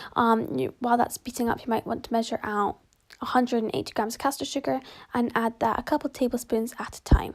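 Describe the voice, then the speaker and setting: Over a silent background in a very clean recording, a woman with a British accent speaks at a very fast pace with ordinary pitch variation. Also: fairly high pitch for a woman. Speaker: home baker, video creator. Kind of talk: baking tutorial. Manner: casual, chatty.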